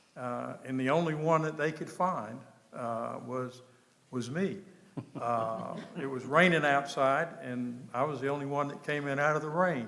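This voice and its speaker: With audible room echo, a man speaks at a fairly slow pace in a fairly high voice with ordinary pitch variation. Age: 70s. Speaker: town manager. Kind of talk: public meeting presentation. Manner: halting, many fillers.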